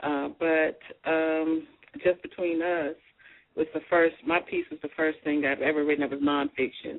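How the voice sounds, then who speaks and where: Fairly even intonation marks this moderate-paced speech with a Southern US accent. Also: woman. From US South, Arkansas. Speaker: author. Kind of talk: radio interview.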